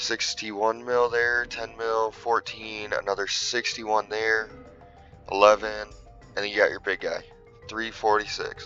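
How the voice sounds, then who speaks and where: A man delivers his words fairly slowly. Background music accompanies him. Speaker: gaming content creator. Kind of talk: casual game commentary to viewers. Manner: shaky, stumbling over words.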